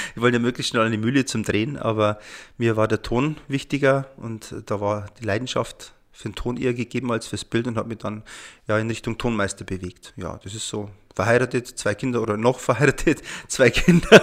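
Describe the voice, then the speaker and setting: A man with a normal speaking voice talks at a fairly quick pace, medium in pitch with fairly even intonation, in a very clean recording with a silent background. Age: 40s. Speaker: sound engineer. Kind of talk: casual chat.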